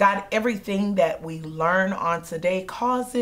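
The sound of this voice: Someone reads in an unforced voice.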